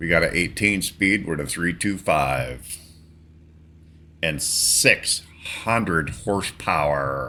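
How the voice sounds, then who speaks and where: Speaking at a very slow pace with long, frequent pauses, a man with an American accent has a very deep, low pitch, vocal fry, lively intonation and a relaxed yet bright, sharp tone. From western Pennsylvania, between Erie and Pittsburgh. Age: 60s. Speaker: gaming streamer. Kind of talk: casual gameplay commentary. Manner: casual, relaxed.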